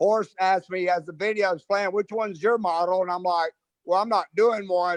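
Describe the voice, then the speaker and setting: A man with a high-pitched voice and an Atlanta accent, recorded with a dry, close sound and no echo. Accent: Southern US (Atlanta). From US South, Atlanta. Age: 60s. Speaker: hairdresser, salon owner. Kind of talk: casual interview chat.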